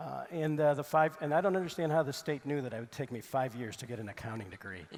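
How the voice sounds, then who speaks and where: Talking very fast, a man with a fairly high voice uses lively intonation and big swings in loudness. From Mexico City, then Chicago area. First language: Spanish. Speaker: donor, university alumnus, accountant. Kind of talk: panel discussion.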